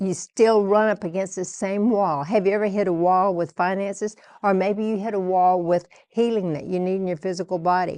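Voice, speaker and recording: Against a quiet background, a woman speaks at medium pitch with a dark, mellow tone. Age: 80s+. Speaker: TV preacher. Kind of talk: sermon. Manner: animated.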